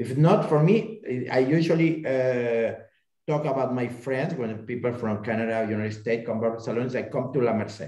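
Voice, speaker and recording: In a Spanish accent, a man speaks at a fairly quick pace with a dark, mellow tone. His medium pitch shows ordinary variation, and the room echo is audible. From Spain. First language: Spanish or Catalan. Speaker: local resident panelist. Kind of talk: casual chat. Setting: video call. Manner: halting.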